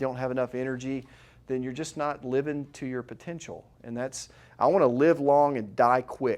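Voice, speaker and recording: A normal speaking voice from a man at medium pitch and moderate pace, fairly even in intonation, in a very clean recording with a silent background. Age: 40s. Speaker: chiropractor running a weight-loss workshop. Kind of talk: workshop presentation with sales pitch. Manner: casual, conversational.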